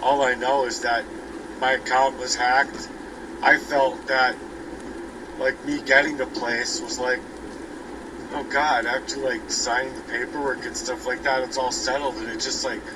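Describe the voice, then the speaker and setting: Moderate-paced speech from a man, long and frequent pauses, noticeable noise in the background. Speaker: vlogger. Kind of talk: personal monologue. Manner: halting.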